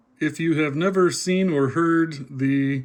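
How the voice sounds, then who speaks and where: Noticeable background noise sits behind the speaker. A man talks with fairly even intonation. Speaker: shortwave radio hobbyist. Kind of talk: casual talk to camera.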